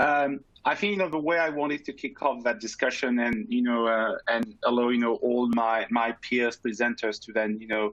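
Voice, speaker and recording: In a French accent, a man speaks at a moderate pace and medium pitch with ordinary pitch variation and hardly any pauses. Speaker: panelist, pharma data scientist. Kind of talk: panel discussion.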